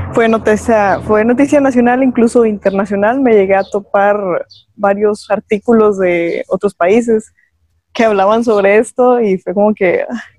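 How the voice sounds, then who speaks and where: A woman's fairly high, plain, everyday voice at a fairly slow pace, with fairly even intonation, very even loudness, and a dry, close sound with no echo. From Mexico, Coahuila (Monclova). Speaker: biomedical engineering student, podcast co-host. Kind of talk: casual group discussion.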